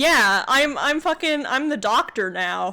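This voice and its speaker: Bright and sharp in tone, a woman with a Canadian accent speaks at a fairly slow pace in a very clean recording with a silent background. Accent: Canadian, North American, clear. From Canada. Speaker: VTuber streamer. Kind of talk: reading aloud an AI text adventure with commentary. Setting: live stream. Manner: casual, stammering at times.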